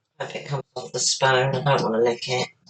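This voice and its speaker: Monotone and flat in intonation, a man's somewhat breathy voice comes through in a dry, close sound with no echo. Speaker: home cook. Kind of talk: cooking commentary. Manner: casual. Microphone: poor sound quality.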